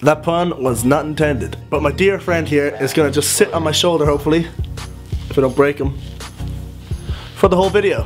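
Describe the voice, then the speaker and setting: A man's fairly high-pitched voice at a fairly quick pace, with ordinary pitch variation, long, frequent pauses and clear music in the background. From Ireland. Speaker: vlogger. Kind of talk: casual talk to camera. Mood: jokey, self-mocking. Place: home room. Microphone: phone near.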